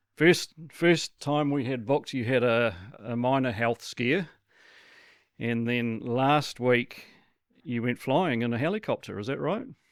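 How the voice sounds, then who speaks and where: An unremarkable speaking voice from a man, medium in pitch with ordinary pitch variation, at a fairly slow pace in a very clean recording with a silent background. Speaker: podcast interviewer. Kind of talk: interview questions.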